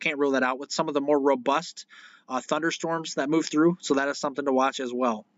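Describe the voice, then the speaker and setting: This man talks very fast. He has an American accent. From northern Illinois. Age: 20s. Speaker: weather live streamer. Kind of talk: live weather coverage. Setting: live stream. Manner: casual, halting with fillers.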